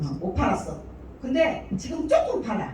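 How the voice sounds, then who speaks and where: At a moderate pace, a woman speaks with very wide pitch swings, amid noticeable background noise and audible room echo. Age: 60s. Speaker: business owner giving a presentation. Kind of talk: sales presentation. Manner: casual and chatty, many fillers.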